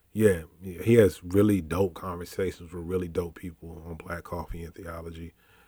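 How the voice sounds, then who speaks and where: Speaking with hardly any pauses at a moderate pace, a man with an American accent has a very deep, low pitch, a dark, mellow and somewhat breathy tone, monotone, flat intonation and big swings in loudness, on a very clean recording with a silent background. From Richmond, Virginia, US South. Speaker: pastor. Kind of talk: casual chat.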